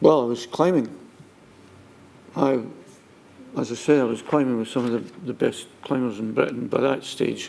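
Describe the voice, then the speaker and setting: In a Scottish accent, a man speaks at a medium pitch and a moderate pace with ordinary pitch variation. His pauses are long and frequent. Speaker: witness at public inquiry. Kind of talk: testimony.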